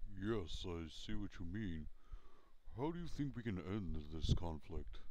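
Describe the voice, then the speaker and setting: A put-on character voice from a man, very deep and low in pitch, at a fairly slow pace over clear background noise. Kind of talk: parody TV news anchor read.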